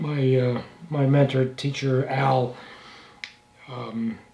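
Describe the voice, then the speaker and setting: A man's medium-pitched voice comes through with audible room echo. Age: 70s. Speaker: instrument restorer and woodworker. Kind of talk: workshop tutorial. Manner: casual, halting with fillers.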